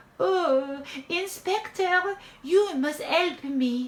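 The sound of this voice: A woman's put-on character voice, extremely high in pitch, very slow, with ordinary pitch variation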